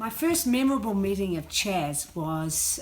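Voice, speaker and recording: A woman speaks with a New Zealand accent. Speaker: former radio news reporter. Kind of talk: memorial tribute.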